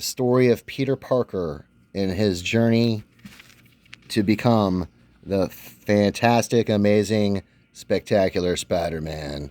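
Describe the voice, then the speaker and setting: Very slowly, a man speaks in a fairly low, shaky voice with a dark, mellow tone. His pitch varies in an ordinary way, and the sound is dry and close with no echo. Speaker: comic book youtuber. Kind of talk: casual show-and-tell video.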